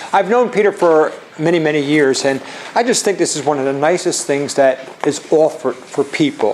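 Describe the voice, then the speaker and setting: A man's fairly high-pitched voice is heard against noticeable background noise. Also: moderate pace. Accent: Philadelphia. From Philadelphia, US. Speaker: charitable giving and tax planning speaker. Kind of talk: seminar presentation. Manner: halting, many fillers and restarts.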